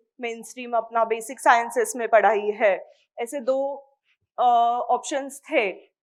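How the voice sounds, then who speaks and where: A woman speaks with a Marathi accent at a fairly high pitch. Her intonation stays fairly even against a quiet background. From India, Mumbai (Maharashtra). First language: Marathi (speaking Hindi). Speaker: microbiology PhD scholar. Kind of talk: interview talk to students.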